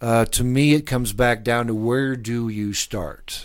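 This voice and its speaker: In an American accent, a man with an ordinary speaking voice talks at medium pitch with fairly even intonation, on a very clean recording with a silent background. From US Midwest, Lincoln, Nebraska. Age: 60s. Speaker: presidential candidate. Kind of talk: interview. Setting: studio.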